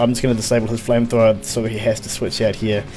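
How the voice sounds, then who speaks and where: A man talks at a medium pitch. Background music can be heard behind him. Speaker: gaming commentator. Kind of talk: game commentary narration. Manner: fast; casual, hesitant with fillers.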